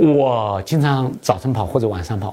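Dark and mellow, the man's tone is somewhat breathy. His pitch varies in an ordinary way. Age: 50s. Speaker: tech startup founder and CEO. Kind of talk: interview. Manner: hesitant, many fillers (啊、呃).

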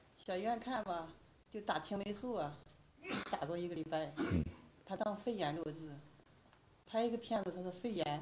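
A woman speaks at a moderate pace with lively intonation. Room echo is audible, and background noise is noticeable. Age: 50s. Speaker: patient. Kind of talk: patient interview.

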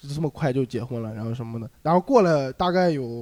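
This is a plain, everyday voice, moving at a fairly quick pace with ordinary pitch variation. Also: man. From Linyi, Shandong. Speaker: stand-up comedian. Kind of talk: casual chat.

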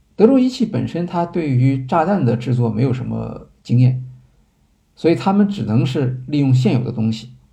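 A man with a dark, mellow tone and a somewhat breathy voice speaks at a moderate pace. Audible room echo surrounds him. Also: medium pitch for a man, lively intonation. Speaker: podcast host. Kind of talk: lecture-style monologue. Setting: live stream. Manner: hesitant fillers.

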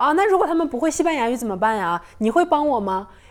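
Amid noticeable background noise, a woman talks with very wide pitch swings. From Northeast China. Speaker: podcast guest. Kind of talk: casual chat.

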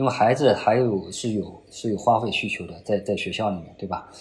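A man with a fairly low pitch talks at a fairly quick pace in a somewhat breathy voice. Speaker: finance professor. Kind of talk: interview. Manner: many filler particles; repeats words, halting.

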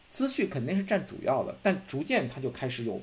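A man's somewhat breathy voice rushes along at a fairly quick pace, its pitch swinging very widely. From Beijing, China. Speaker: film critic. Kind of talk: casual chat. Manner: repetitive, stammering restarts.

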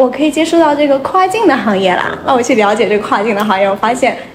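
Her voice is high-pitched, and she is a woman. Noticeable background noise and audible room echo fill the recording. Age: 20s. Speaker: university student on gap year in cross-border e-commerce. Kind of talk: casual chat. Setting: studio. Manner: animated.

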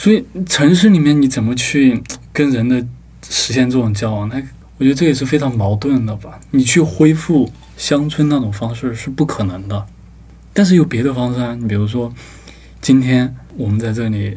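Speaking at a moderate pace, a man with a medium-pitched voice and ordinary pitch variation is heard amid audible room echo and noticeable background noise. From Sichuan, China (rural). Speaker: book review editor. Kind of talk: casual chat.

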